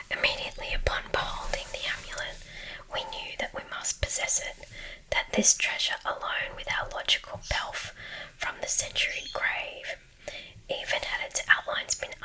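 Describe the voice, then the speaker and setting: A woman whispers at a moderate pace. There is noticeable background noise. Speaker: ASMR reader. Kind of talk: sleep story. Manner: whispered.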